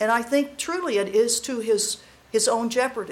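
A woman's normal speaking voice, fairly high in pitch, with ordinary pitch variation and a moderate pace. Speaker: retired army colonel and former diplomat. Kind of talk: panel talk.

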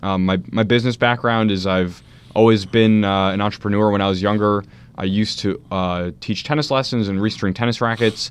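A man with an American accent speaks at a moderate pace. His pitch is fairly low and his intonation fairly even. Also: quiet background. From US Northeast (New Jersey). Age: 20s. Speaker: political candidate. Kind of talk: radio interview. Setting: radio studio. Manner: hesitant, many fillers.

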